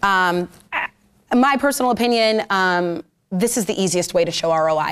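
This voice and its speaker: A woman talks, her pitch varying in an ordinary way. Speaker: social media marketing speaker; speaker. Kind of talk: presentation to a live audience. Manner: fast. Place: meeting room.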